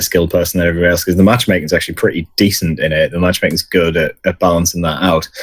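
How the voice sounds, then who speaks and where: A man with a British accent speaks at a very deep, low pitch. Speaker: podcast host. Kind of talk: casual chat.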